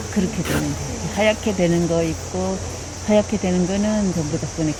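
Noticeable background noise is present throughout. The speech comes at a moderate tempo. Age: 80s+. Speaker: forest guide. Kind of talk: casual nature explanation outdoors. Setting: outdoors.

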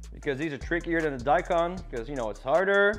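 Faint music plays behind the voice. The man keeps a fairly quick pace. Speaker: home cook host. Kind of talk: casual cooking tutorial. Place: kitchen.

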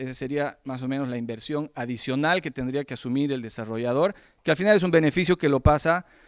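Over a quiet background, a man with an unremarkable speaking voice talks at a fairly quick pace, fairly high in pitch, with lively intonation. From Bolivia. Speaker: entrepreneur; presenter. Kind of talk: pitch presentation; presentation talk. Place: hall. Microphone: handheld.

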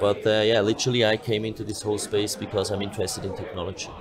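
Speech comes at a fast pace with little pitch movement and clear background noise. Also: man, fairly low pitch for a man.

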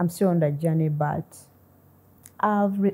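A woman's very deep, low pitch comes with a dark, mellow tone. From Uganda. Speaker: mathematician. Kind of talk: interview. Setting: studio. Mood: warm, grateful, smiling. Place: studio. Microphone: lapel.

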